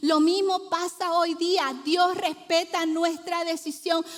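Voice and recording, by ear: A fairly slow pace with little pitch movement. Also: woman, extremely high pitch for a woman.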